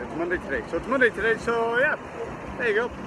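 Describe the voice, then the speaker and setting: Loud background noise surrounds a man's voice. The sound is dry, with no echo. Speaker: vlogger. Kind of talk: casual vlog chat. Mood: cheerful, upbeat. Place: street. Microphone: phone near.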